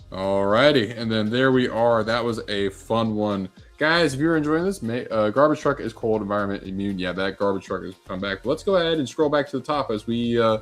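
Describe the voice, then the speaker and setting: Music plays behind a man of medium pitch who speaks at a fairly quick pace with lively intonation and hardly any pauses. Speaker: podcast host. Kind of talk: live stream commentary. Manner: commentator voice.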